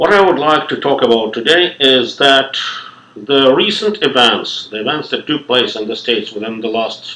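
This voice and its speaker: A man's medium-pitched voice at a moderate pace, with a slight non-native accent. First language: not English. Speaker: lecturer. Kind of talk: lecture. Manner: formal.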